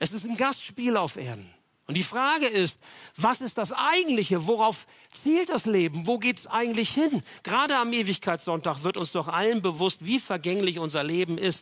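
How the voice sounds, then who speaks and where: An animated tone at a moderate pace, with very wide pitch swings. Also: man, high pitch for a man. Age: 60s. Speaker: pastor. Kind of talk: sermon.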